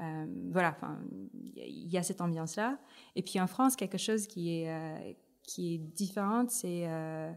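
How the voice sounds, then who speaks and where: A woman's fairly low voice at a moderate pace, broken by long, frequent pauses. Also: ordinary pitch variation. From Philippines, Manila. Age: 30s. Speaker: tech ecosystem director. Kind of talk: interview. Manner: hesitant, many fillers.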